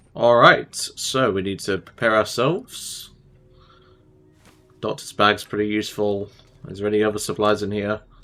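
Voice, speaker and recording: The speaker's intonation is monotone and flat, with long, frequent pauses and music in the background. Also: man, fairly low pitch for a man, moderate pace. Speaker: gaming youtuber. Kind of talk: let's play commentary. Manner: casual.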